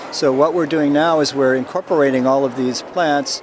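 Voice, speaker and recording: Noticeable background noise sits under the speech. The pace is moderate and the intonation fairly even. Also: man. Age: 60s. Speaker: botanist. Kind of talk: interview. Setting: expo floor. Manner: halting.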